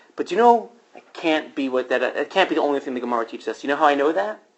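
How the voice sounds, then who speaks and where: At a very fast pace, a man speaks in an animated tone with lively intonation. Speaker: rabbi and teacher. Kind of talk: lecture.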